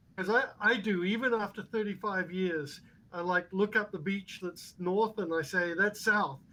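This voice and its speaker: A man's raised, projected voice, high in pitch and bright and sharp in tone, at a moderate pace with fairly even intonation. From New Zealand. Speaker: robot hobbyist. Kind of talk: casual chat. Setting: video call.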